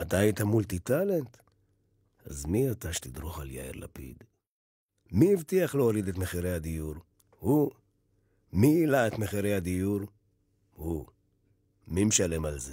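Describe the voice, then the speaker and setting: A man with a very deep, low pitch speaks in a dramatic tone at a moderate pace. His pitch swings very widely, his loudness varies a lot, and he takes long, frequent pauses. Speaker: voice actor / announcer. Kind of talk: satirical election campaign monologue. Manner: sarcastic, rhetorical, dramatic.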